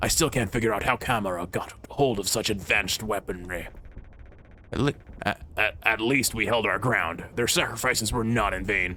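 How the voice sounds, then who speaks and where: Over clear background noise, a man uses a gravelly put-on character voice at a medium pitch and a moderate pace. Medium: role play.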